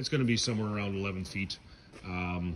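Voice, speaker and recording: Over light background noise, a man talks fairly quickly in a plain, everyday voice, with ordinary pitch variation. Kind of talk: tutorial walk-through explanation. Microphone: phone near.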